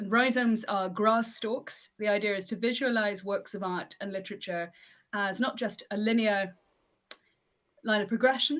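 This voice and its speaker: A woman with a West Yorkshire accent, medium in pitch, with ordinary pitch variation. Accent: mild West Yorkshire English. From northern England, West Yorkshire. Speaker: academic and performance poet. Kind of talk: live stream interview. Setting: live stream.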